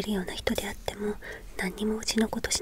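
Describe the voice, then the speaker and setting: A soft-spoken woman whispering, with noticeable background noise and a dry sound with no echo. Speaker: book discussion host. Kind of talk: lecture-like talk about a book on money. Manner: soft whispered ASMR lecture voice. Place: home room.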